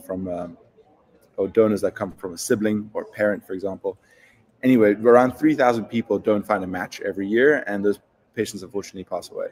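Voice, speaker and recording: Fairly quick, fairly low male speech with fairly even intonation in a South African accent. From South Africa, Cape Town. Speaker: startup founder. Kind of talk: interview.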